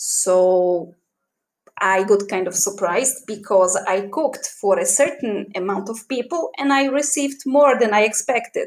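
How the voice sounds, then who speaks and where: A woman in a Polish accent, fairly high-pitched, with lively intonation at a fairly slow pace. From Poland. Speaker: podcaster. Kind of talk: personal storytelling.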